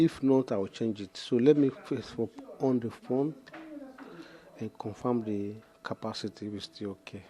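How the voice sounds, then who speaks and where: A soft-spoken man at medium pitch and a moderate pace, with ordinary pitch variation, big swings in loudness, and long, frequent pauses. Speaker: phone repair technician. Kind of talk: tutorial. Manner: halting.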